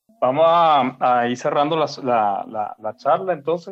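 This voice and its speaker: A man's fairly high-pitched, ordinary speaking voice with ordinary pitch variation. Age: 50s. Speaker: podcast host. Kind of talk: casual chat.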